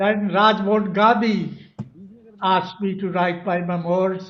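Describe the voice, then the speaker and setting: Audible room echo surrounds a man speaking very slowly in a high pitch with monotone, flat intonation. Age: 90s. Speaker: author of a memoir. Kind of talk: speech at a book launch.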